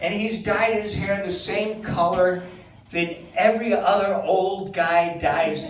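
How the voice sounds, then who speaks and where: Over noticeable background noise and audible room echo, a man talks at a very slow pace in a high pitch. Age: 60s. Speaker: stand-up comedian. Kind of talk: stand-up. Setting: stage with audience.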